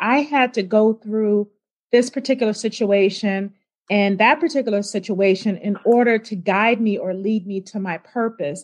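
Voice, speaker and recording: Here a woman has a plain, everyday voice with a fairly high pitch and an American accent. She talks at a moderate pace with ordinary pitch variation. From US South, Richmond, Virginia. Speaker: life coach. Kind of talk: interview.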